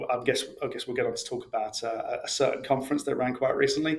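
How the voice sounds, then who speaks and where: Fairly quick speech from a man with a British accent. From UK. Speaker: integration expert, author. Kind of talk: podcast interview. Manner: hesitant, many fillers.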